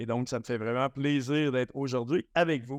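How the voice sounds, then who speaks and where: A man speaks with a Quebec accent at a fairly high pitch. The sound is dry and close with no echo, over a quiet background. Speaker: agile coach. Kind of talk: conference talk. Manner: animated; halting.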